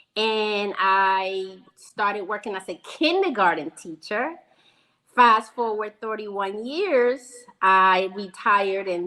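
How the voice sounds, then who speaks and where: Speaking with an American accent in a plain, everyday voice, a woman uses medium pitch, ordinary pitch variation and a fairly slow pace. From Venezuela, then New York from childhood. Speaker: school principal and foundation founder. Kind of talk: interview.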